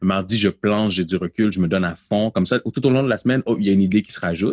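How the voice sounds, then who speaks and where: On a dry, close recording with no echo, a man with an unremarkable speaking voice talks at a fairly low pitch with ordinary pitch variation. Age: 30s. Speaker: pastor and slam poet. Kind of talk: interview. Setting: video call.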